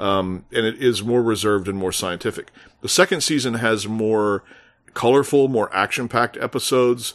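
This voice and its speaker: A man's medium-pitched, normal speaking voice with an American accent, ordinary pitch variation and a moderate pace, over a quiet background. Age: 40s. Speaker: film critic. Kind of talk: casual chat.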